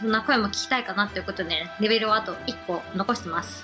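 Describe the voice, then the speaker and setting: Her words come out at a very fast pace. Clear music can be heard behind the woman. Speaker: game streamer. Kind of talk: casual gameplay commentary.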